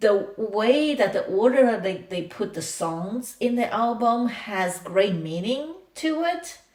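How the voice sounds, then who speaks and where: This speaker talks at a fairly slow pace with a non-native accent. The pitch swings very widely. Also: woman. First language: not English. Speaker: reaction video creator. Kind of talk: casual reaction commentary. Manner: halting.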